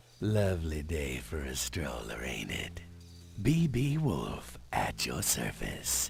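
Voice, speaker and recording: Music plays clearly in the background. A man uses a put-on character voice at a fairly slow pace. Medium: video game. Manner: faux-genteel, menacing, misuses big words.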